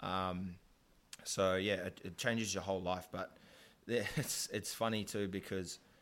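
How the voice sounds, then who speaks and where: In a New Zealand accent, a man speaks at a fairly slow pace with a very deep, low pitch and monotone, flat intonation. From New Zealand, South Auckland. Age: 20s. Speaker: podcast host and painter. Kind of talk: casual chat. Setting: studio.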